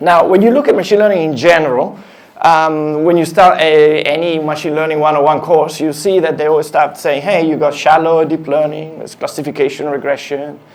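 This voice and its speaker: A man with fairly high pitch and fairly even intonation, plus audible room echo. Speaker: engineering director giving a tech talk. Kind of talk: conference talk. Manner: fast; halting, many fillers.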